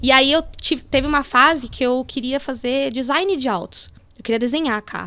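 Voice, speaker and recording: A woman's voice rings out raised and projected, high-pitched with a bright, sharp tone. Her pitch varies in an ordinary way. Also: moderate pace. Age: 30s. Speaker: motorsport engineer. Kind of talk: casual interview.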